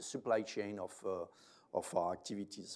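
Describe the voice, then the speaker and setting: A man talks with a French accent. His pitch is fairly low and his intonation fairly even. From France. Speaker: company managing director. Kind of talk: investor presentation. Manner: halting, many fillers.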